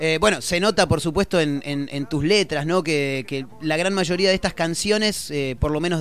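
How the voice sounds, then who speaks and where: A man speaks at a moderate pace in a Rioplatense accent. His pitch is fairly high, with ordinary variation. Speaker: radio host. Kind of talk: casual interview. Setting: radio studio.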